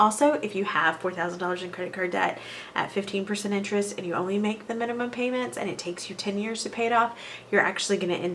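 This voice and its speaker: A woman at medium pitch with lively intonation and a very fast pace, over noticeable background noise. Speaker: personal finance vlogger. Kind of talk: casual talk to camera.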